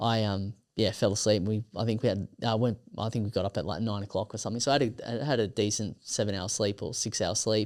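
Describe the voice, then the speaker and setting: On a very clean recording with a silent background, a man with an Australian accent talks at a very fast pace with hardly any pauses, a fairly low pitch and fairly even intonation. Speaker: ultramarathon runner. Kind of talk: casual interview chat. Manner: halting, many fillers.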